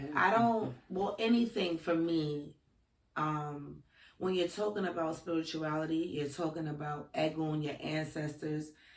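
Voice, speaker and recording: Here is a woman with a Brooklyn accent and a very deep, low pitch. She talks at a fairly slow pace with ordinary pitch variation. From Brooklyn, New York. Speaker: spiritual practitioner. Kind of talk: casual chat; storytelling.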